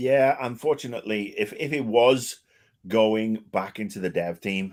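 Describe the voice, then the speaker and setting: In a British accent, a man speaks at a medium pitch with ordinary pitch variation. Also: fairly slow pace. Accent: British-sounding. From Wales. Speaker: video game commentator. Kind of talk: casual chat. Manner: animated.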